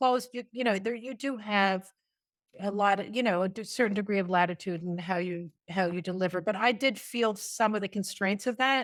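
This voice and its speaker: A woman speaks at a fairly quick pace and a medium pitch, on a very clean recording with a silent background. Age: 60s. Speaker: retired special education teacher. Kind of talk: podcast interview. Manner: halting, many fillers and restarts.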